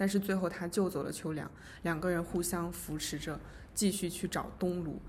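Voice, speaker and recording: A woman with a fairly low, somewhat breathy voice speaks at a moderate pace with monotone, flat intonation. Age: 20s. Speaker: podcast co-host, literature graduate student. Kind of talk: casual book discussion.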